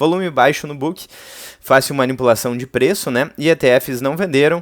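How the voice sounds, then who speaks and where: Using a plain, everyday voice, a man at a medium pitch talks at a fairly slow pace with lively intonation, in a dry, close sound with no echo. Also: very clean recording, silent background. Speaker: crypto YouTuber. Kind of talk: casual commentary video.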